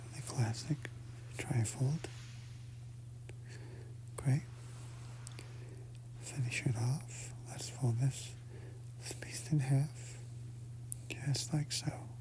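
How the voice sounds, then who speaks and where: Whispering and soft-spoken, a man uses a gentle tone at a very slow pace with long, frequent pauses over noticeable background noise. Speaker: ASMR content creator. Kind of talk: ASMR soft-spoken instructional narration. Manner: soft, gentle, slow, whispery.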